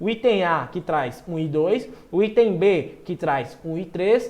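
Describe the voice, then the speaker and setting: A man talks at a very slow pace with lively intonation. His tone is dark and mellow. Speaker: nutrition exam-prep teacher. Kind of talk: online lecture. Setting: live stream. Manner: animated.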